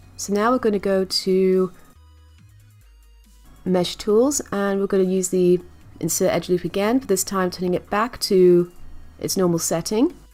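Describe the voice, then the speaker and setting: Long, frequent pauses break up speech with ordinary pitch variation. Music plays in the background. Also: woman, medium pitch for a woman, moderate pace. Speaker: 3D modelling tutor. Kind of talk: software tutorial narration.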